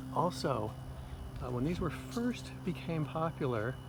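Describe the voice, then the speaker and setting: In a room with audible echo and noticeable background noise, a man speaks at medium pitch and a fairly slow pace with lively intonation. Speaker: horticulture instructor. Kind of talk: outdoor plant identification lecture. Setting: outdoors, walking neighborhood streets. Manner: quiet, hushed.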